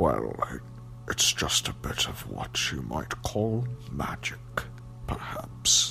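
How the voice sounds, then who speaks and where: A man whispers in a put-on character voice at a very slow pace. Background noise is clearly heard. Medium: read story. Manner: offhand.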